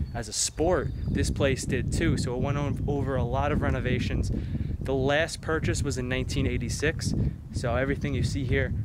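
Male voice with loud background noise and a dry sound with no echo. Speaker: exploration vlogger. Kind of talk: casual vlog chat. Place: open country. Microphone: phone near.

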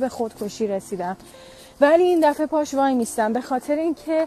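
Over faint background music, a woman speaks in a high voice with ordinary pitch variation, the sound dry with no echo. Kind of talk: emotional personal statement. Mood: upset, defiant, emotional. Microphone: earbuds.

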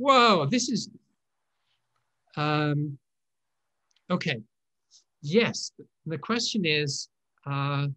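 The man speaks at a very slow pace, with long, frequent pauses. His background is quiet. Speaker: online lecturer on writing systems. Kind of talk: live online talk Q&A. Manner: halting, many fillers. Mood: warm, pleased, lightly humorous. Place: home room. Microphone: webcam.

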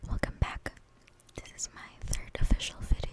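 A woman speaks. She is whispering. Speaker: ASMR creator. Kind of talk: ASMR talk to camera. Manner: soft, whispered. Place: home room. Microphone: studio mic.

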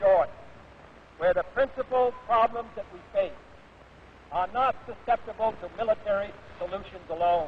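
With an American accent, a man speaks in a high pitch at a moderate pace, his pitch varying in an ordinary way, his loudness swinging widely, and long, frequent pauses breaking up the speech over light background noise. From United States. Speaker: US president. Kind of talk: formal political speech to a graduating class. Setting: outdoor stadium, historical recording. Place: stadium. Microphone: podium.

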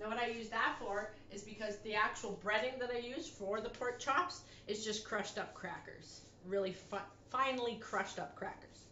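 A woman's voice at a moderate pace with ordinary pitch variation, audible room echo and light background noise. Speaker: home cooking vlogger. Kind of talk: casual cooking tutorial chat. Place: kitchen. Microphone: camera far.

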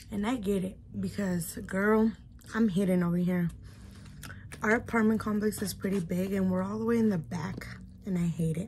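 Against light background noise, a woman with an American accent speaks at a moderate pace and medium pitch, somewhat breathy, with fairly even intonation and long, frequent pauses. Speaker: YouTuber, mom; YouTuber. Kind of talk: mukbang vlog, casual eating chat. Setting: at home. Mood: relaxed, chatty. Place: home room. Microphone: phone near.

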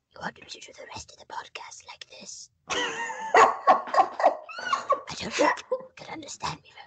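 Whispering at a fairly slow pace, the speaker performs a put-on character voice. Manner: creepy.

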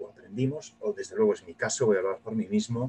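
A man's voice carries a slightly husky edge and a slightly mellow tone.

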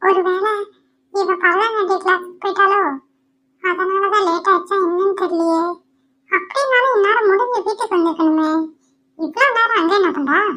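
Using a cartoonish character voice, a woman speaks at an extremely high pitch with ordinary pitch variation. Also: fairly slow pace. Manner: anxious, questioning.

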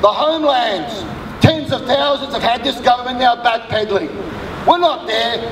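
Over noticeable background noise, a man with an extremely high pitch talks at a moderate pace in an angry, warm tone with ordinary pitch variation. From Australia. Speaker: suicide prevention worker and activist. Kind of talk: rally speech, impassioned public oration. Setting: outdoors rally with crowd. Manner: forceful, emphatic, declamatory, with repeated phrases and punchy rhythm; fiery, urgent, angry at injustice yet warm in closing. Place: street.

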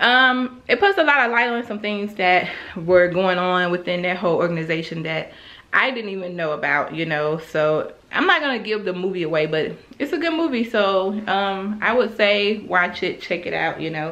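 Audible room echo surrounds a woman speaking at a moderate pace, her fairly low pitch carrying a fairly bright tone and lively intonation.

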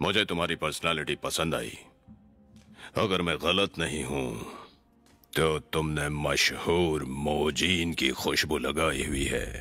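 A man speaks with a very deep, low pitch. Long, frequent pauses break his speech over faint music in the background. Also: fairly slow pace. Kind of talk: Hindi film dubbing. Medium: fan dub. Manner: playful, leering, rambling.

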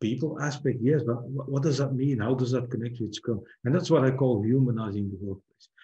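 A man's somewhat breathy voice with a dark, mellow tone, a fairly quick pace and ordinary pitch variation. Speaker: keynote speaker. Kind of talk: lecture.

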